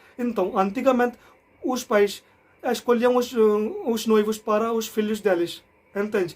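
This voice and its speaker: Speaking fairly slowly with long, frequent pauses, a man holds a high pitch and fairly even intonation. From India. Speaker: language learner vlogger. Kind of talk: casual explainer vlog. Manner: halting.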